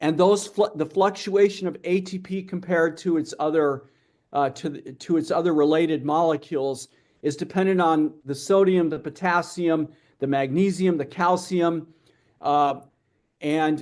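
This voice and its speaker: A man speaks at a high pitch with fairly even intonation. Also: moderate pace. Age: 60s. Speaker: metabolic health researcher and speaker. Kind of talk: interview Q&A at online conference. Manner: halting, many repetitions and restarts.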